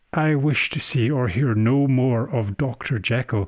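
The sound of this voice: A man puts on a shaky character voice at medium pitch and a moderate pace. His loudness stays very even on a very clean recording with a silent background.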